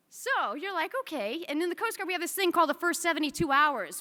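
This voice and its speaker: A woman's raised, projected voice, bright and sharp in tone, at a very fast pace. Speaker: military officer. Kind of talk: speech. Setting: stage with audience.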